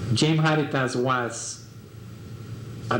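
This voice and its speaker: A man with a Mexican accent speaks at a medium pitch, with noticeable background noise and audible room echo. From Mexico. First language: Spanish. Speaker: artist. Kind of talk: life story interview. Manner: halting, many fillers.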